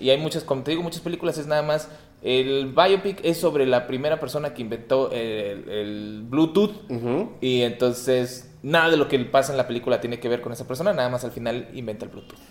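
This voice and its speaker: The speech runs at a fairly quick pace with hardly any pauses, over noticeable background noise. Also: man, medium pitch for a man, ordinary pitch variation. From Torreón, northern Mexico. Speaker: podcast co-host and comedian. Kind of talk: casual chat. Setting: apartment with echo. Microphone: room echo.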